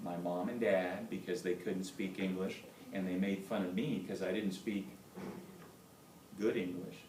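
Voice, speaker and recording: Speaking with a Spanish accent at a moderate pace, a man with a fairly low pitch is heard with audible room echo and noticeable background noise. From Indiana, born in Cuba. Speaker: doctor giving school talk. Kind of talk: motivational talk to schoolchildren. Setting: classroom.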